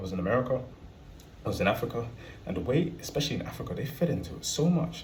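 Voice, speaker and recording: A man talks at a very fast pace. His pitch swings very widely, with audible room echo. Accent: British. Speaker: travel vlogger. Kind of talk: casual monologue to camera.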